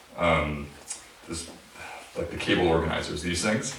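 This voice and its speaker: Against noticeable background noise and audible room echo, a man talks in a very deep, low pitch. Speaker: electronic musician. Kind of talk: Q&A after a live performance. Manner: hesitant, many fillers.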